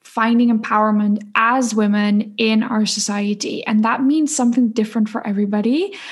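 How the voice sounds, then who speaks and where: With a Dutch accent, a woman speaks at a fairly slow pace in a fairly high pitch, sounding somewhat breathy. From Netherlands. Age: 20s. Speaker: spiritual coach and podcaster. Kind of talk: casual interview.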